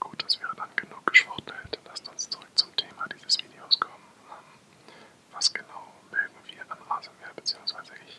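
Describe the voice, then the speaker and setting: The speaker whispers at a moderate pace, with big swings in loudness. Noticeable background noise is present. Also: man. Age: 20s. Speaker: ASMR artist. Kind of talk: ASMR whisper introduction to camera. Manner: whispered, soft-spoken.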